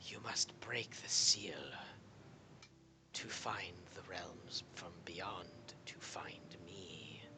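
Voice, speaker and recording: In a put-on character voice, a man whispers at a very slow pace, his loudness swinging widely. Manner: hissing.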